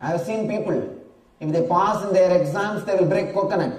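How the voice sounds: The passage comes through in a natural reading voice.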